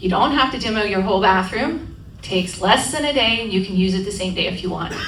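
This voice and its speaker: Lively intonation drives very fast speech, heard with audible room echo and noticeable background noise. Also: woman, medium pitch for a woman. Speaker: aging-in-place home safety specialist. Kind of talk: community presentation. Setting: room with live audience. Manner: interactive, conversational.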